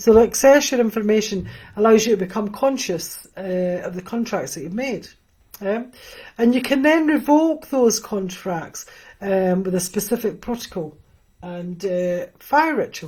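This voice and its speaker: A woman speaks in a Scottish accent with a dark, mellow tone. Her voice is somewhat breathy, with big swings in loudness. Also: medium pitch for a woman, lively intonation, moderate pace. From Scotland, near Edinburgh. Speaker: spiritual teacher. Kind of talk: live stream Q&A teaching. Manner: hesitant, many fillers.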